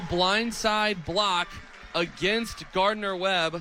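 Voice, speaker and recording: With an energetic tone, a man speaks in a raised, projected voice at a high pitch. There is noticeable background noise. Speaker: sports broadcaster, radio play-by-play announcer. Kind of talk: college football radio play-by-play. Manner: fast, energetic.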